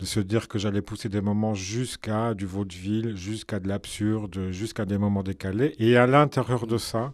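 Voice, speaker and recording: In a Belgian accent, a man speaks at a fairly slow pace with fairly low pitch and fairly even intonation, recorded very cleanly against a silent background. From Belgium. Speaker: film director. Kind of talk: radio interview.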